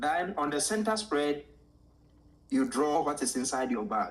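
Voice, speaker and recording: A man with a Ghanaian accent speaks with lively intonation. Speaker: art teacher. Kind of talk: interview storytelling. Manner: animated.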